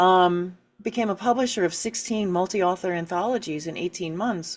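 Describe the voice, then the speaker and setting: The recording is very clean, with a silent background. An ordinary speaking voice moves at a moderate pace with ordinary pitch variation. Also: woman, medium pitch for a woman. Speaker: author and writing coach. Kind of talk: interview.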